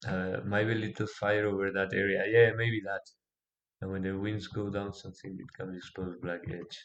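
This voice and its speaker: Monotone, flat intonation at a moderate pace, with a non-native accent. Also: man, fairly low pitch for a man. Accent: non-native, self-described weak pronunciation. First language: not English. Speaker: pixel artist streamer. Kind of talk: live streaming tutorial. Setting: live stream on Discord. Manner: halting.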